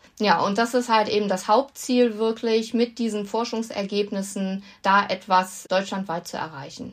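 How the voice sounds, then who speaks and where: A woman's plain, everyday voice at medium pitch, moderate pace, fairly even intonation and hardly any pauses. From North Rhine-Westphalia, Germany. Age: 40s. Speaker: animal welfare association chair. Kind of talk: casual interview.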